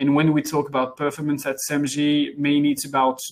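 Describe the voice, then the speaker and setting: With a French accent, a man talks at a moderate pace in a fairly high voice. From France. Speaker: head of international development at software company. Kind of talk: webinar presentation. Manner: hesitant, many fillers.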